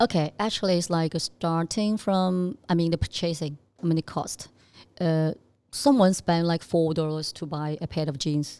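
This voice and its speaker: A woman with a Chinese accent speaks at a moderate pace in a fairly low, dark and mellow voice, her pitch varying in an ordinary way. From southern China (Zhanjiang, Guangdong). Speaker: fashion company executive. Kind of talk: casual interview chat.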